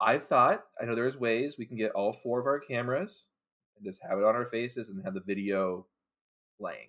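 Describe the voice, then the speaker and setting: This man has an unremarkable speaking voice at a medium pitch. He moves at a fairly quick pace with ordinary pitch variation. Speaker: podcast co-host, guest. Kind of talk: casual chat, movie review podcast.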